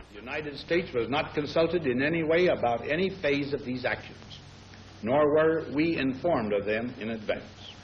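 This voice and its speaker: Noticeable background noise behind a man's fairly high voice, moderate in pace, with ordinary pitch variation. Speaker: head of state. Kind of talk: formal policy statement.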